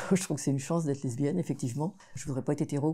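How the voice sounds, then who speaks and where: A woman's somewhat breathy voice with a dark, mellow tone, on a very clean recording with a silent background. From Vendée, western France. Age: 70s. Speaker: feminist activist. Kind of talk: interview. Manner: hesitant, with frequent fillers.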